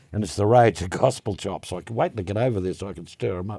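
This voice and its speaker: In an Australian accent, a man speaks at a very fast pace with a fairly low pitch, ordinary pitch variation, a dark, mellow tone and a somewhat breathy quality, on a very clean recording with a silent background. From Western Australia, Perth. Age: 70s. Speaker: drum maker and drummer. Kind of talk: casual interview chat.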